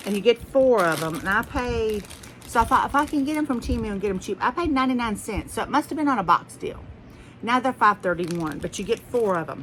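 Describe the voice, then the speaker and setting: A woman with a Southern US accent, fairly high-pitched, talking at a very fast pace with very wide pitch swings. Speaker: haul vlogger. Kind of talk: casual chat. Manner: rambling, conversational.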